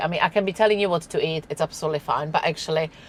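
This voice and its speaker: With a Czech accent, a woman talks in a very deep, low pitch. Her pitch variation is ordinary. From Czech Republic. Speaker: nutritionist. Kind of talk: podcast interview. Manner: halting, many restarts.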